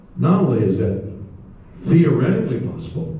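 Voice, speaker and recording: Noticeable background noise runs behind the clip. A man speaks at a fairly high pitch. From Canada. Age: 80s+. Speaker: actor. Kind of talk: convention panel talk.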